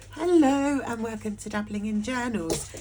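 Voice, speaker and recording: A woman's lively intonation at a moderate pace, with noticeable background noise. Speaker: journaling YouTuber. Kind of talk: casual unboxing vlog. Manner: animated.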